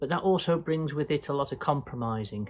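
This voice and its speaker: Set against a quiet background, a man speaks in a fairly high pitch with ordinary pitch variation. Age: 60s. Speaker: vlogger, boat dweller. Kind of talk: casual Q&A vlog monologue. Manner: hesitant, many fillers.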